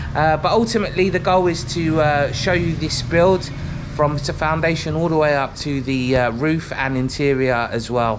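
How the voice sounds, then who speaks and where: With a London accent, a man speaks at a fairly high pitch and ordinary pitch variation, with noticeable background noise and audible room echo. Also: moderate pace. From London, England. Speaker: vlogger. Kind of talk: vlog intro to camera. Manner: casual, with frequent fillers.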